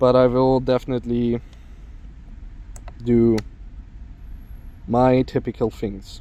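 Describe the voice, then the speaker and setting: A man speaks with a German accent. His tone is dark and mellow. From Germany. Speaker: FPV drone YouTuber. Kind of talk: casual vlog narration. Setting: outdoors. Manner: casual with frequent fillers.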